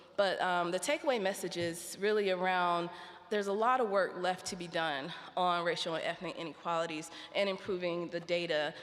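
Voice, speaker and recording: A woman with an American accent speaks at a fairly quick pace with a fairly low pitch. Her intonation is fairly even, and the room echo is audible. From United States. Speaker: researcher on health inequalities. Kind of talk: conference talk.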